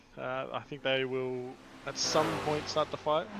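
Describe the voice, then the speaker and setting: With an Australian accent, a man speaks at a moderate pace and with fairly even intonation. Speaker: sim racing commentator. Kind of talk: live commentary.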